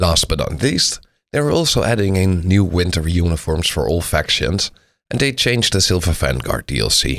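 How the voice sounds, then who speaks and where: A man with a Dutch accent, very deep and low in pitch with vocal fry, very wide pitch swings and very even loudness, on a very clean recording with a silent background. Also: moderate pace. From Netherlands. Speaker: gaming YouTuber. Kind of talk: game update preview video.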